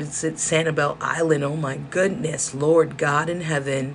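A woman with an American accent speaks at a fairly slow pace in a hoarse voice. Her pitch is very deep and low, with noticeable background noise behind her. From South Central Los Angeles. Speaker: podcast host. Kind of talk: monologue rant, casual. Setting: indoors with space heater whirring.

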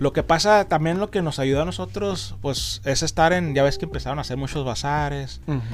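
A man with a normal speaking voice talks at a fairly high pitch. The pace is fairly quick, with lively intonation and hardly any pauses. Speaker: comic and collectibles shop owner. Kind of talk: casual interview.

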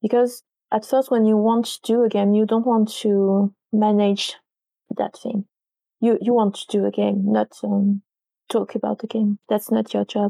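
A woman with a French accent speaks at a fairly slow pace and fairly high pitch, her tone dark and mellow, her intonation monotone and flat, in a dry, close sound with no echo. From France, Paris suburbs. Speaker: games journalist and author. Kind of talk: interview. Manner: halting.

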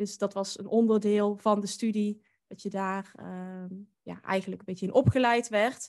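A woman speaks at a fairly slow pace and medium pitch in a monotone, flat intonation. Her loudness swings widely, and the background is quiet. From Netherlands, North Brabant (Drunen near Den Bosch). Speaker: podcast host and boudoir photographer. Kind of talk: interview.

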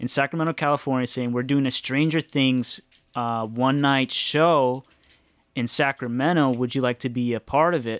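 Recorded very cleanly against a silent background, the sound is dry and close with no echo. A man speaks in a normal speaking voice at medium pitch, moderate pace and with fairly even intonation. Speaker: tattoo artist. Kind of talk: casual chat. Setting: hanging out playing video games.

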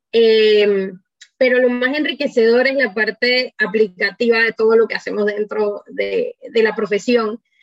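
The intonation stays fairly even. The sound is dry and close with no echo, and music plays in the background. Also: woman, fairly high pitch for a woman, fairly slow pace. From Panama. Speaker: electrical engineer. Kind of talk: radio interview.

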